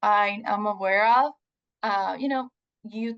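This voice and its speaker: The voice has a Puerto Rican accent and fairly even intonation. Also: woman. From Puerto Rico. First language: Spanish. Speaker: research scientist. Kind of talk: presentation. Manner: halting, many fillers.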